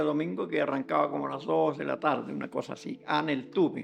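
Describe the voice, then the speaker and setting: Very wide pitch swings mark this fairly quick delivery, heard over noticeable background noise. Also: man. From southern Chile, Los Ríos region (Lanco, Neltume area). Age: 70s. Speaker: elderly local resident sharing memories. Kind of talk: oral history testimony. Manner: halting, with repetitions.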